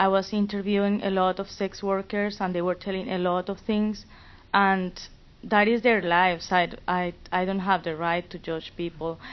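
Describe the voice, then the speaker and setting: This woman's mid-range voice holds a flat, monotone line throughout. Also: moderate pace. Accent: Spanish. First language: Spanish. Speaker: student fellow. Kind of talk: panel discussion.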